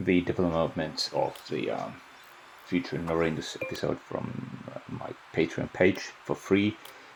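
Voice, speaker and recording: Over noticeable background noise, a man with a non-native accent speaks at a fairly slow pace. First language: Finnish. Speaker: video game YouTuber. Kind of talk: gameplay voice-over commentary. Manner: halting, many fillers and repeats.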